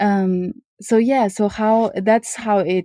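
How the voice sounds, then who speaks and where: A woman speaks in a dark, mellow tone with monotone, flat intonation, recorded very cleanly against a silent background with a dry, close sound and no echo. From Uyghur (East Turkestan). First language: not English (English is her third language). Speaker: lawyer and entrepreneur. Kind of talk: podcast interview.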